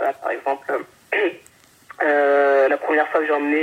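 A woman's very deep, low voice at a fairly slow pace, with noticeable background noise. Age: 30s. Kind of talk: casual interview. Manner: halting.

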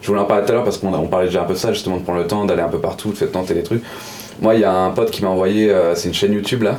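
A man talks very fast at a fairly low pitch with fairly even intonation, and the recording has audible room echo and noticeable background noise. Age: 20s. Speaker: pixel artist. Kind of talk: casual chat.

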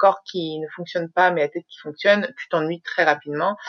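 A woman speaks with fairly even intonation. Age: 30s. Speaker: social media consultant. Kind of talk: casual chat.

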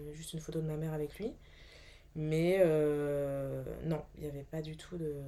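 Pitched very deep and low, a woman's dark, mellow voice runs monotone and flat, with big swings in loudness, long, frequent pauses and audible room echo. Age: 40s. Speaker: actress, bereaved mother. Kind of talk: testimony. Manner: halting, many hesitations.

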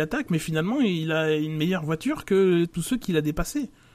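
Very fast and high-pitched, a man speaks in a very clean recording with a silent background. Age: 40s. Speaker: F1 podcast panelist. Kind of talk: casual chat.

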